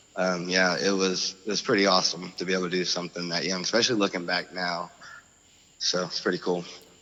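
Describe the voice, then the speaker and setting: Over noticeable background noise, someone talks at a very fast pace with an American accent and monotone, flat intonation. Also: man, very deep, low pitch for a man. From Oklahoma, US. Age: 30s. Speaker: former restaurant owner. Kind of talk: casual interview chat. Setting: phone call.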